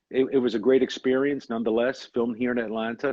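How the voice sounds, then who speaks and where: Speaking fairly quickly, a man has a New York accent. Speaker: actor. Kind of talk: interview.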